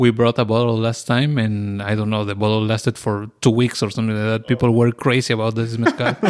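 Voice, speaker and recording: With a Spanish accent, a man speaks very fast with hardly any pauses, at a medium pitch and in a monotone, flat intonation. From Oaxaca, Mexico. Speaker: mezcal bar owner. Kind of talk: casual interview.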